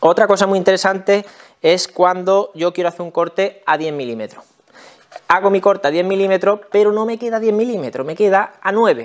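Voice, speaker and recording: Against a quiet background, a man with a Spanish accent talks at a fairly quick pace. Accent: Peninsular Spanish. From Spain. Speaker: tool review YouTuber. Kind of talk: product review tutorial. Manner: casual, explanatory. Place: workshop.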